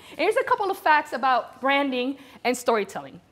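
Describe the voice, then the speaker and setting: A woman speaks at a very fast pace with a Spanish accent. Her voice is high-pitched. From Venezuela, Caracas. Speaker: corporate storyteller and speaker. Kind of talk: conference presentation. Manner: animated.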